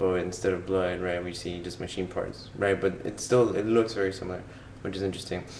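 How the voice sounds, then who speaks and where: A man's very deep, low pitch at a fairly quick pace, with monotone, flat intonation and audible room echo. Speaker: vlogger reviewing a film. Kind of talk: casual film commentary. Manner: hesitant, many fillers and repetitions.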